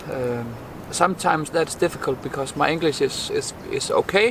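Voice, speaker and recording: A man talks at a moderate pace with a Danish accent. Noticeable background noise runs behind him. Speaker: bushcraft vlogger. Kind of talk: casual outdoor vlog talk to camera. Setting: outdoors in a forest by a campfire. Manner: halting, many repeats and fillers.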